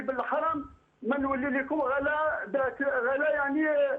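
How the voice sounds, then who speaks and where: This man talks at a fairly slow pace, his extremely high pitch held in a monotone, flat intonation. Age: 70s. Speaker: caller. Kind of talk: call-in to religious advice show. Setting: phone call. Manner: halting.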